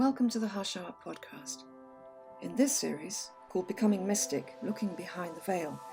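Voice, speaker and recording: Music plays in the background as a woman talks at a moderate pace, her pitch swinging very widely. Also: fairly low pitch for a woman. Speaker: podcast host. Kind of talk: podcast intro.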